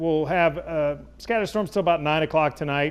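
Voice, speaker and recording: A man's ordinary speaking voice, fairly high in pitch, with an American accent, a fairly quick pace and ordinary pitch variation. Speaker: chief meteorologist, TV weather forecaster. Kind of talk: TV weather forecast.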